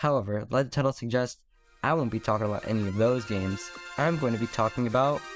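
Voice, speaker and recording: Music in the background behind a man at medium pitch, very fast pace and ordinary pitch variation. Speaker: video essayist. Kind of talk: video game essay narration.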